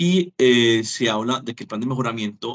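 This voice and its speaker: His voice is an unremarkable speaking voice, pitched in the middle range for a man. Pitch moves up and down in an ordinary way. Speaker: teacher. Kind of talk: lecture.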